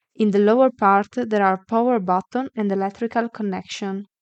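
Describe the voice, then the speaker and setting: Against a quiet background, a woman with an Italian accent talks at a medium pitch with fairly even intonation, in a dry, close sound with no echo. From Italy. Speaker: sewing tutorial creator. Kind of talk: product tutorial. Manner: halting, with fillers.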